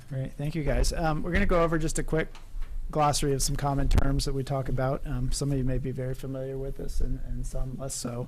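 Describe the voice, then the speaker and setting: A soft-spoken man talks at a very fast pace with fairly even intonation. Audible room echo surrounds his voice. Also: fairly high pitch for a man. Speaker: project manager, coastal consultant. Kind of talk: public workshop presentation. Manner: quiet, soft-spoken; hesitant, many fillers.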